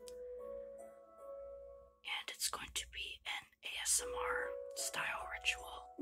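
Someone whispers at a very slow pace. Loud music plays in the background. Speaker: ritual practitioner. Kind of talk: whispered ASMR talk to camera. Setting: home recording, basic mic. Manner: whispered. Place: home room. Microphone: phone near.

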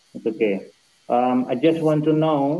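Speaking at a fairly slow pace, a man with an Indonesian accent has a dark, mellow tone. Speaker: university lecturer, thesis reviewer. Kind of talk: academic questioning. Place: home room. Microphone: video call.

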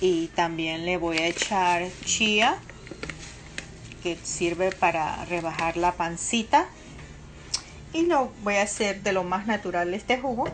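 Long, frequent pauses break up a woman's very slow speech. Light background noise is present. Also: ordinary pitch variation. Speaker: home vlogger. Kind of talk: casual vlog chat. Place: kitchen. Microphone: phone near.

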